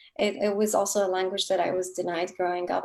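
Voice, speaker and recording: A woman's medium-pitched voice in a Kurdish accent, fairly quick, with monotone, flat intonation. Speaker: novelist. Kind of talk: author interview.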